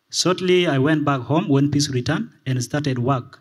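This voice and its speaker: This man's fairly high, somewhat breathy voice moves along quickly, its pitch varying in an ordinary way. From South Sudan. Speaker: teacher in refugee camp. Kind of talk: testimony at symposium.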